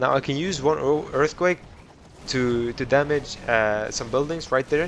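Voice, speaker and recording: A man's fairly high-pitched voice, with ordinary pitch variation, competes with noticeable background noise. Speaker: gaming youtuber. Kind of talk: gameplay commentary. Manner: fast; casual, halting with self-corrections.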